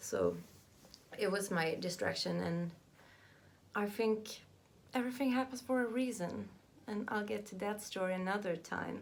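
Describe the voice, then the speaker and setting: A woman with a Southern Swedish accent speaks at a moderate pace, her pitch medium with ordinary variation. Long pauses come often, and room echo is audible. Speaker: vlogger. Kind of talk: personal vlog monologue. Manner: halting.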